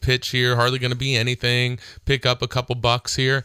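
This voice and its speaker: On a very clean recording with a silent background, a man talks at a fairly quick pace in a dry, close sound with no echo. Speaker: radio host and attorney. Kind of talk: radio talk show monologue. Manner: casual, conversational with fillers.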